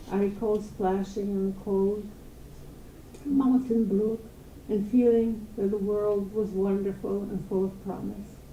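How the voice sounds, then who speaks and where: With audible room echo behind her, a woman speaks at a fairly slow pace in a medium pitch and fairly even intonation. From Poland (Galicia, now Ukraine). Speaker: holocaust survivor. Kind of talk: testimony.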